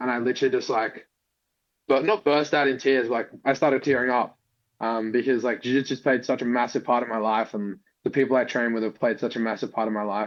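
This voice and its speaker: In an Australian accent, a man talks at a very fast pace and a medium pitch. His intonation stays fairly even against a quiet background. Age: 20s. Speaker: jiu-jitsu athlete. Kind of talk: interview.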